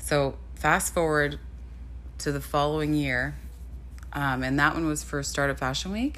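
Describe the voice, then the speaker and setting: A woman speaks with long, frequent pauses. Audible room echo surrounds her voice. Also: fairly slow pace. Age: 30s. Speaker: model and podcast host. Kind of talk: casual solo podcast monologue.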